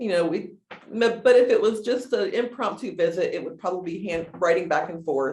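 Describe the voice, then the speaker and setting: Loudness swings widely as a woman talks at a fairly quick pace with lively intonation. Her pitch is medium, and the room echo is audible. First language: American Sign Language. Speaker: deaf case manager. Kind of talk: casual chat.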